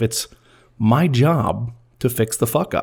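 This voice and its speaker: Somewhat breathy, a man speaks at medium pitch with ordinary pitch variation. The recording is very clean, the background silent. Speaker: podcast host and film editor. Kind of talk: scripted narration. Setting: recorded at a microphone. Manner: edited, stumbles removed.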